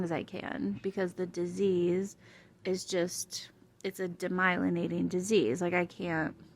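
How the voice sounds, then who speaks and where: A woman speaks at a fairly slow pace and a medium pitch. Her intonation stays fairly even. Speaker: vlogger with multiple sclerosis. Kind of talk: casual vlog chat. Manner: hard to hear, soft.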